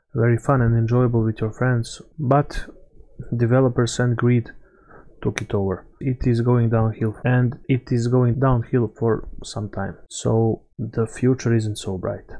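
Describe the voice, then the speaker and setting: In a non-native accent, a man speaks fairly slowly at a medium pitch, his tone dark and mellow and his intonation monotone and flat. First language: not English. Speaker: gaming YouTuber. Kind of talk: gameplay commentary. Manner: halting.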